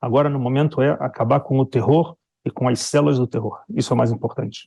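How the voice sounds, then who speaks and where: Here a man of medium pitch talks at a fairly quick pace with fairly even intonation. His somewhat breathy voice has a dark, mellow tone and a dry, close sound with no echo. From Brazil. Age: 60s. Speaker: Brazilian expat commentator on the Israel war. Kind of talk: news interview.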